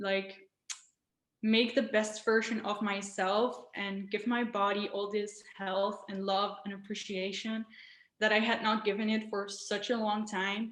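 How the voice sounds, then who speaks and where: A woman with a non-native accent speaks fairly slowly in a fairly high pitch, her intonation flat and monotone. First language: not English. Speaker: raw vegan influencer. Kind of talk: interview. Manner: hesitant, many fillers.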